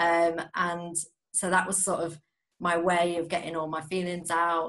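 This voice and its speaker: A woman with an East Midlands accent talks at a fairly slow pace in a fairly low pitch. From Nottingham, England. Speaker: spoken word poet. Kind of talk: interview with poetry readings.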